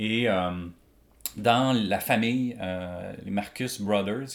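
A man speaks at a medium pitch in a Quebec accent. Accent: Québécois French. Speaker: illustrator and comic artist. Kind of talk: casual chat. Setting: artist's studio.

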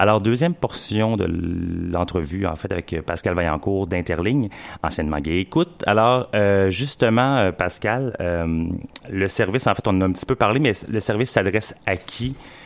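A man with a very deep, low voice speaks at a moderate pace with lively intonation. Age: 40s. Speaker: community radio host. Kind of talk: casual radio show with interview. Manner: halting, many fillers and repeats.

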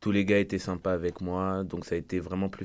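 A man speaks in a very deep, low pitch with monotone, flat intonation. The recording is very clean, with a silent background. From France. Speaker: university soccer player. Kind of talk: radio interview.

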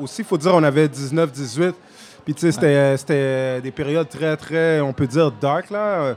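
Speaking at a fairly slow pace, a man uses a fairly high voice with ordinary pitch variation. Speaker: rapper. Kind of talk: casual interview. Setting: festival tent.

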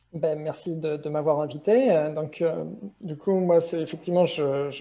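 With a fairly high pitch and a dark, mellow tone, a man speaks at a moderate pace with fairly even intonation. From France. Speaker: business software consultant. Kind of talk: interview.

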